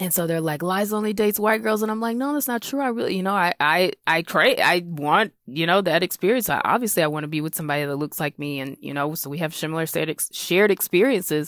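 A woman with an American accent talks at a very fast pace with hardly any pauses, her fairly low voice lively in intonation and the sound dry and close with no echo. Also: very clean recording, silent background. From South Carolina. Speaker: comedian. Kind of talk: comedic personal story.

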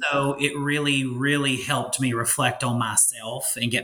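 Audible room echo surrounds a man's bright, sharp tone, which shows little pitch movement.

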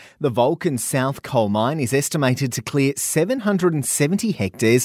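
In an Australian accent, a man at medium pitch speaks at a moderate pace with lively intonation on a very clean recording with a silent background. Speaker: radio news presenter. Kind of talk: news reading. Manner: crisp, brisk, even newsreader delivery.

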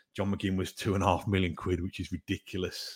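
A man's very deep, low voice in a Midlands accent, with monotone, flat intonation. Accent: local Midlands. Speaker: football podcaster, opposing club fan. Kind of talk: casual chat. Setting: remote podcast recording. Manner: halting, repeats words.

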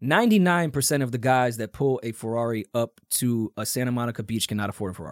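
A man with an American accent talks at a fairly quick pace in a plain, everyday voice, his medium pitch showing ordinary pitch variation. The recording is very clean, with a silent background and a dry, close sound with no echo. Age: 30s. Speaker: podcast co-host. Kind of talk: casual chat.

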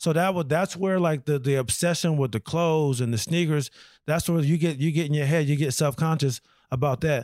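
In a very clean recording with a silent background, a man with a normal speaking voice talks at a fairly quick pace in a fairly high pitch, with ordinary pitch variation and very even loudness. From Rochester, New York inner city. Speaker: comedian, military veteran. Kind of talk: casual chat. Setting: in host's home.

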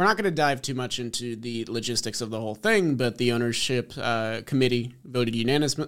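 A man with a normal speaking voice talks at medium pitch and a fairly quick pace, using ordinary pitch variation. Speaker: sports podcast host. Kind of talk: casual sports chat.

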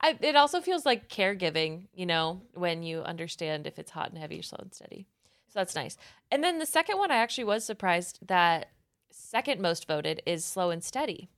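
A woman talks at a fairly quick pace and medium pitch. Her pitch swings very widely and her loudness shifts a lot. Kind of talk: casual chat.

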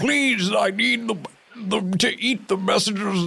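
This is a male speaker. The voice he adopts is a put-on character voice. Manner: jolly, pleading.

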